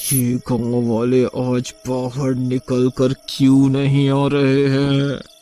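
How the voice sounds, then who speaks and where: Using a cartoonish character voice at medium pitch, a man speaks very slowly in a monotone, flat intonation. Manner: menacing.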